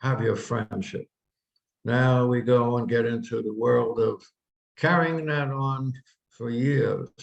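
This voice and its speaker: At a fairly slow pace, a man with a medium pitch and somewhat breathy voice shows ordinary pitch variation in a dry, close sound with no echo. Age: 80s+. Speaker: minister giving talks. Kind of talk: spiritual talk. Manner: conversational.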